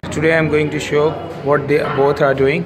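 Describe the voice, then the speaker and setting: Over noticeable background noise, a man speaks at a moderate pace with monotone, flat intonation. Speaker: fitness vlogger. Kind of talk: casual vlog chat. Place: gym. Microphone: phone near.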